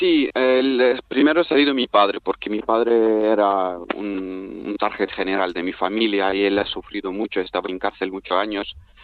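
With a fairly low voice, a man talks at a fairly slow pace. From Turkmenistan. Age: 20s. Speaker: refugee. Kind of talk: interview. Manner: halting.

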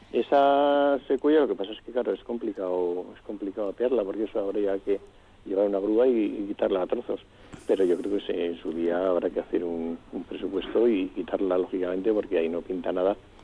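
Using a plain, everyday voice, a man speaks at a fairly quick pace and a fairly low pitch with ordinary pitch variation. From Vitoria-Gasteiz, Basque Country. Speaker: retired municipal gardening chief. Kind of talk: radio interview.

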